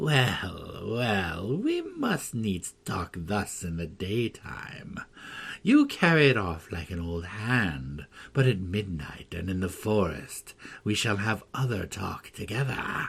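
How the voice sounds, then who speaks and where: Putting on a character voice, a man cackles in a fairly low pitch at a fairly slow pace. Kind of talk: archaic. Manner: cackling, stately.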